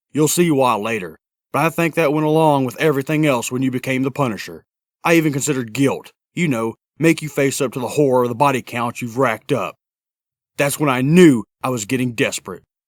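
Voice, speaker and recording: This is a put-on character voice at a fairly quick pace. The sound is dry and close, with no echo. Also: man, medium pitch for a man. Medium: fan dub. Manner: measured, somber.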